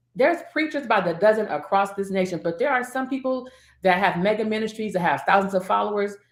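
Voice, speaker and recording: Her pitch sits at a medium level for a woman, swinging very widely as she talks at a fairly quick pace. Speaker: preacher and mentoring coach. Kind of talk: casual chat. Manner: fast.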